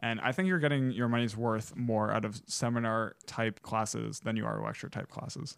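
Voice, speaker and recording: A very clean recording over a silent background of a man's plain, everyday voice, medium in pitch, at a moderate pace. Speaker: college student podcast co-host. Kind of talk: casual chat.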